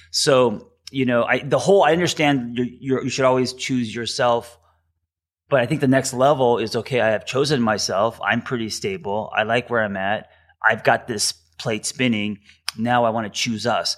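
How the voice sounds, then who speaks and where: A man with a normal speaking voice keeps a moderate pace, his medium pitch moving with ordinary variation. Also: very clean recording, silent background. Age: 40s. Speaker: therapist. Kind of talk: interview.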